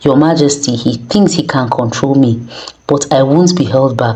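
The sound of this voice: An unforced reading voice is used here. The delivery stays that way from start to finish.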